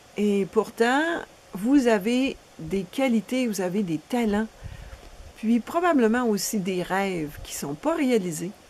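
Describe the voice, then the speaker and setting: The woman's voice sits at a fairly high pitch. She talks at a very slow pace. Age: 60s. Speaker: relationship coach. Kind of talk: promotional seminar presentation.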